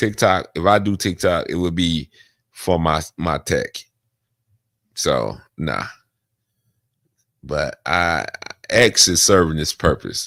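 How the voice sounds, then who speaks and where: A man's very deep, low voice with vocal fry and lively intonation, on a very clean recording with a silent background. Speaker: veteran streamer. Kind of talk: casual livestream chat. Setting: at home, seated in chair. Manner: halting, repetitive.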